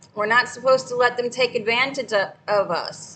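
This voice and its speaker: At a fairly slow pace, a woman talks in a high voice. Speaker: livestreamer sharing scripture. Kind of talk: casual livestream talk with scripture reading. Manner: loud.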